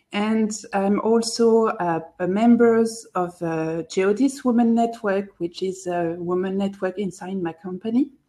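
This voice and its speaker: A woman with a French accent, medium pitch, ordinary pitch variation, a fairly slow pace and hardly any pauses. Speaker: productivity blogger and podcaster. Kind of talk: live video chat.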